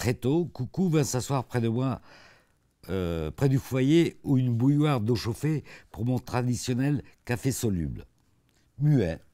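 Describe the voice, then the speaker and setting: The man talks at a very slow pace in a dark, mellow tone. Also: quiet background. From born in Africa, lived mostly in Italy. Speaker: author and painter, former actor; former actor. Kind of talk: interview. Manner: halting, many repetitions. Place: studio. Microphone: lapel.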